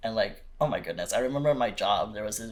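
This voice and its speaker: A man speaks at a very fast pace with an American accent. Noticeable background noise runs under his voice. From North Carolina, US South. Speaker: small business owner and model. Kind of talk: casual podcast chat. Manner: halting, filler-heavy.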